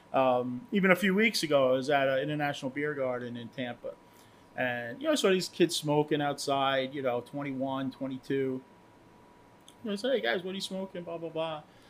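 A plain, everyday voice: a man with an American accent, fairly high in pitch, at a moderate pace with ordinary pitch variation. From US Northeast, Long Island, New York. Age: 50s. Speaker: cigar brand owner. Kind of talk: casual chat.

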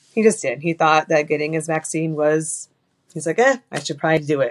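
A woman speaks very fast in a fairly low voice, with a dry, close sound and no echo. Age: 40s. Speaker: widow sharing her story. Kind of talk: testimony.

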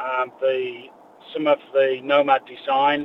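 A man with an English accent and fairly high pitch, over noticeable background noise. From England. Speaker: tackle shop staff. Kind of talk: casual interview.

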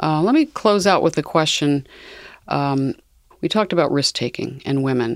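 This voice belongs to a woman. It sits very deep and low in pitch. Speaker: podcast host. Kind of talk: interview conversation.

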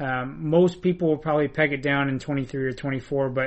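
A man with a normal speaking voice talks at a fairly quick pace, his fairly high pitch held in fairly even intonation. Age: 20s. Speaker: hockey analyst. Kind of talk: casual chat.

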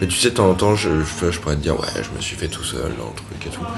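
A man is speaking amid noticeable background noise. Room echo is audible. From Paris. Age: 30s. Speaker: novelist. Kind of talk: casual chat. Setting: café. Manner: hesitant, with fillers.

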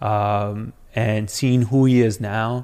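A man's medium-pitched, normal speaking voice with fairly even intonation, in a very clean recording with a silent background. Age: 30s. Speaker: city council candidate. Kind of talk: casual interview.

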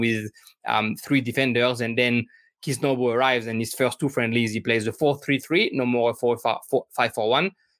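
Speaking in a French accent at a fairly quick pace, a man keeps a medium pitch and a monotone, flat intonation. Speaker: football podcast host. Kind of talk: interview. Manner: halting, many fillers.

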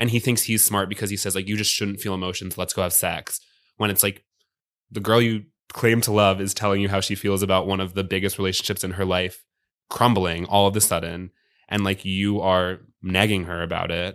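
A man with an American accent talks at a fairly quick pace with fairly low pitch and monotone, flat intonation, on a very clean recording with a silent background. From Virginia. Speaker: comedian. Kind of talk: casual chat. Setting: studio.

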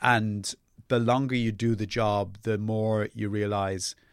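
The voice comes with a South Dublin accent. The sound is dry and close with no echo, in a very clean recording with a silent background. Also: man. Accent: south Dublin Irish. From Ireland, Dublin (Ballybrack). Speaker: novelist and playwright. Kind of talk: casual interview chat. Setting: studio.

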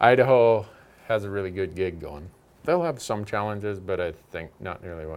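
Speaking at a fairly quick pace with lively intonation, a man uses a fairly low pitch and a plain, everyday voice on a very clean recording with a silent background. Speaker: hunting show host. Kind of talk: casual chat.

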